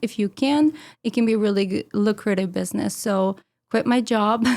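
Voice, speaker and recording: Speaking at a fairly quick pace, a woman has a medium pitch and ordinary pitch variation in a very clean recording with a silent background. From Ukraine. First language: Ukrainian or Russian. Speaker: food blogger. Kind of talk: casual chat.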